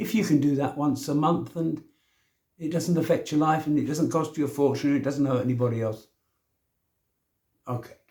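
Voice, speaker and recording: A man speaks with long, frequent pauses at a fairly high pitch. His voice is somewhat breathy, with a dark, mellow tone. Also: ordinary pitch variation, moderate pace. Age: 70s. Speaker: self-help vlogger. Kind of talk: casual monologue. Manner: informal, conversational.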